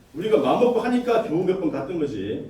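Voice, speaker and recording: Amid audible room echo and noticeable background noise, a man with a high voice speaks fairly quickly with very wide pitch swings. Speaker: activist presenter. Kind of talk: panel presentation. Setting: forum with audience. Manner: fast.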